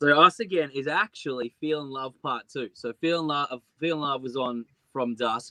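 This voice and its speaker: With an Australian accent, a man talks at a moderate pace in a fairly high pitch, his tone bright and sharp and his pitch varying in an ordinary way. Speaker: singer-songwriter. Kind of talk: interview. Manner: halting, stuttering.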